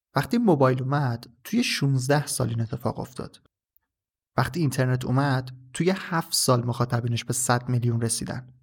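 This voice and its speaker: A somewhat breathy voice moves at a moderate pace with fairly even intonation. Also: man, medium pitch for a man. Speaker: podcast host. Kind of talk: solo tech podcast monologue.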